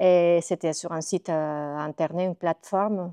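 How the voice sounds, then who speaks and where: A woman with a Spanish accent speaks at a moderate pace, her fairly low pitch and dark, mellow tone set to fairly even intonation. The sound is dry and close with no echo, over a quiet background. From Costa Rica. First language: Spanish (speaking French). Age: 40s. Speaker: illustrator and graphic designer. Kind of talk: interview monologue. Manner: hesitant, many filler sounds.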